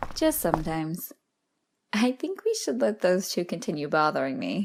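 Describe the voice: A woman puts on a character voice, fairly low in pitch with vocal fry. She moves at a moderate pace with big pitch swings.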